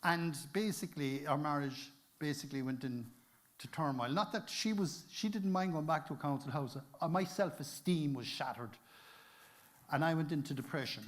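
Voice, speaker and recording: Speaking with a Cork accent, a man has a fairly high pitch. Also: ordinary pitch variation, moderate pace. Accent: Cork Irish. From Cork, Ireland. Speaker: adventurer, inspirational speaker. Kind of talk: motivational conference talk.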